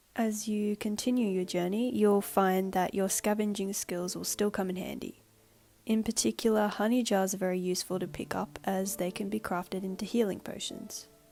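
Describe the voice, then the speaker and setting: Her intonation monotone and flat, a woman talks at a moderate pace and a medium pitch. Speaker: university student. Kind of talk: game prototype walkthrough narration.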